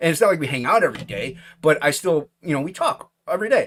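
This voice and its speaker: A man's voice sits high in pitch. He talks at a fairly quick pace. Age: 40s. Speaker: podcast host. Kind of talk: casual chat.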